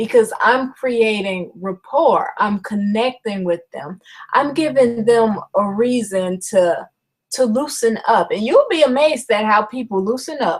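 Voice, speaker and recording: A woman's ordinary speaking voice, fairly high in pitch, with lively intonation and a fairly slow pace. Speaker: network marketing trainer. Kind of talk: webinar presentation. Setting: online video broadcast. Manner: conversational with fillers.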